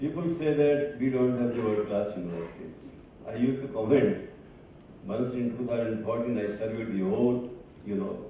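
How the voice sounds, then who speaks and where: Noticeable background noise and audible room echo accompany this man's speech. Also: medium pitch for a man, ordinary pitch variation, moderate pace. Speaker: academic speaker. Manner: halting.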